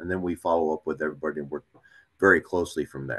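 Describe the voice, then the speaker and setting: The speaker's pitch varies in an ordinary way over a quiet background. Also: man. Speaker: police sergeant. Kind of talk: panel presentation. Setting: video call. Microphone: video call.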